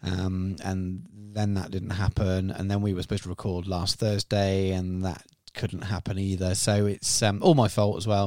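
The speaker talks at a moderate pace with a monotone, flat intonation. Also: man, fairly low pitch for a man. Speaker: podcast host. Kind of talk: casual chat. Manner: rambling, filler-heavy.

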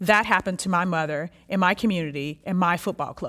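A woman speaks in a plain, everyday voice at medium pitch with an American accent. The recording is very clean, with a silent background. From Texas (Houston). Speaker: social anthropologist. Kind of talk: reading aloud a written dialogue.

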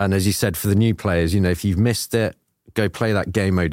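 On a very clean recording with a silent background, the speaker talks at a very fast pace in an enthusiastic tone with ordinary pitch variation. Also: man. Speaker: video game producer. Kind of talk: casual podcast chat.

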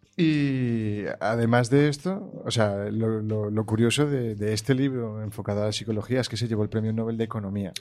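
A man at medium pitch and moderate pace with ordinary pitch variation, hardly any pauses and an unremarkable speaking voice. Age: young. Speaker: guest discussing emotional intelligence. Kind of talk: casual chat.

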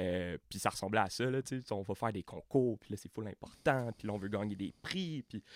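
Hardly any pauses break the moderate pace of this man's speech, recorded very clean with a silent background, dry and close with no echo. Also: ordinary pitch variation. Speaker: university student podcast host. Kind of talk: interview.

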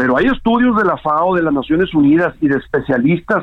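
An ordinary speaking voice, its pitch moving up and down by a normal amount. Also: man. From northern Mexico, Tamaulipas. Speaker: farmer and agricultural business representative. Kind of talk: phone interview. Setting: phone call.

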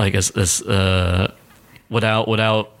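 A man speaks with fairly low pitch and vocal fry. His intonation stays fairly even. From Massachusetts, Chicopee. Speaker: comedian. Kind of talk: casual chat.

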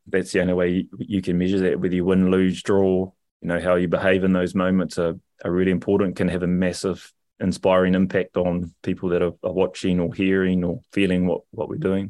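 Against a quiet background, a man with a New Zealand accent speaks fairly quickly in a very deep, low voice. His tone is dark and mellow, his intonation flat and monotone, and his loudness very even. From New Zealand, Rotorua. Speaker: rugby coach and culture manager. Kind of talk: interview. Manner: halting.

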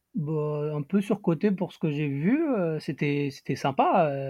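A man's fairly high voice at a fairly slow pace, an ordinary speaking voice with ordinary pitch variation, in dry, close sound with no echo. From Paris, France. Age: 20s. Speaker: traveller. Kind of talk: casual chat.

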